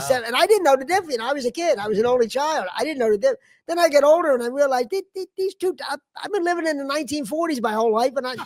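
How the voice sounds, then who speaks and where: A man talks at a very fast pace with lively intonation. His pitch is extremely high. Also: dry, close sound with no echo. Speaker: comedian, podcast host. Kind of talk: casual podcast conversation. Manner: ranting, stammering.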